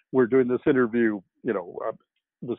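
Against a quiet background, a man with a Canadian accent is heard in a dry sound with no echo. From Canada. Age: 60s. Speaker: science fiction novelist; guest. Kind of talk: interview. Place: home room.

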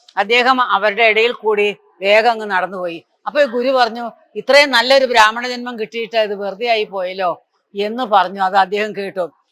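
With a raised, projected voice, a man speaks at a high pitch in a bright, sharp tone. His intonation stays fairly even. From southern Kerala, Thiruvananthapuram. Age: 80s+. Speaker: Narayaneeyam teacher. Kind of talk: religious storytelling talk. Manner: halting.

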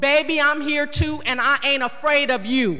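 A woman speaks in a raised, projected voice at a moderate pace, with faint music in the background. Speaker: city council member. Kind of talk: heated council debate speech. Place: hall. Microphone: podium.

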